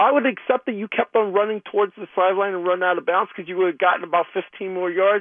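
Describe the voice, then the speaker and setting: Very fast and high-pitched, a man rattles through his words. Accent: American. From New York City. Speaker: caller. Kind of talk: casual chat. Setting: phone call.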